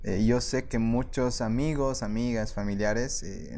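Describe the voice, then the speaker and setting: With audible room echo around him, a man speaks in a dark, mellow tone. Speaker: life coach and podcaster. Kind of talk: interview conversation. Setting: studio.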